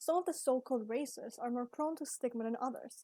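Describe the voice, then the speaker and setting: A woman speaks at a very fast pace, her voice high with ordinary pitch variation. The tone is dark and mellow, and the sound is dry and close with no echo. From Ecuador. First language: Spanish. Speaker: student. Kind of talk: class presentation.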